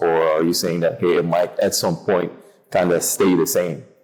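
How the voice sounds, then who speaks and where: With music in the background, a man speaks at a moderate pace in an American accent. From outside the United States. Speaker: podcast co-host, interviewer. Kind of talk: casual podcast conversation.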